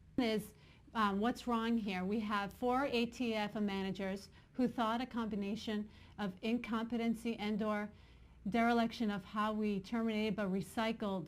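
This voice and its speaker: Speaking at a moderate pace, a woman keeps a monotone, flat intonation at a fairly high pitch. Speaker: online news show host. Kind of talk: news commentary. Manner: halting, with false starts.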